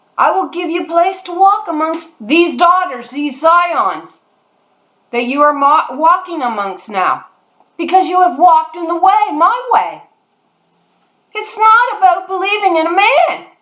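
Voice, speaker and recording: A woman with an extremely high voice speaks at a fairly slow pace with lively intonation. Room echo is audible. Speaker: religious video teacher. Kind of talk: sermon-style monologue. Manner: animated.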